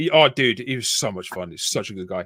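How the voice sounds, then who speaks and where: In a Yorkshire accent, a man talks at a moderate pace with a dry, close sound and no echo, in a very clean recording over a silent background. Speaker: army veteran. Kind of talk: casual chat.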